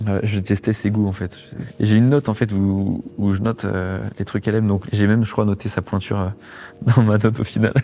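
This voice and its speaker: This man speaks with a fairly low pitch and a fairly quick pace. Monotone, flat intonation marks his delivery. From Angers, western France. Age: 20s. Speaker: radio co-founder. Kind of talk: casual interview-style storytelling.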